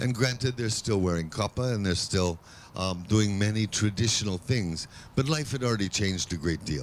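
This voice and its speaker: This man's voice sits fairly low in pitch. His pitch moves in an ordinary way. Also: moderate pace. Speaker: guest speaker, Hawaiian language scholar. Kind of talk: public talk. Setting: outdoor event with audience. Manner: unscripted, halting.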